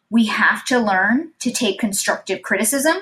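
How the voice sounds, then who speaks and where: With an unremarkable speaking voice, a woman talks at a fairly slow pace in a fairly high pitch with ordinary pitch variation. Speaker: podcast host. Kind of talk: motivational pep talk. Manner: upbeat, encouraging, warm; earnest, steady and positive.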